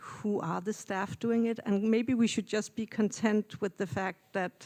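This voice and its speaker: In a Danish accent, a woman speaks at a fairly slow pace with fairly even intonation. The sound is dry and close with no echo, in a very clean recording with a silent background. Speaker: audience member. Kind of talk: Q&A question. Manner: hesitant.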